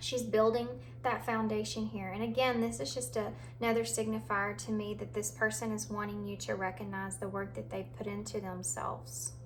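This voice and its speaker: Against audible room echo, a woman talks at a fairly quick pace. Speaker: tarot reader. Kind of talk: tarot reading. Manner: fast; halting.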